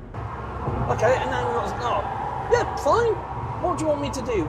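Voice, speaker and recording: Loud background noise competes with speech delivered at a moderate pace. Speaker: van driver vlogger. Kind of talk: casual vlog chat. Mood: sarcastic, mildly annoyed. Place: car. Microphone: lapel.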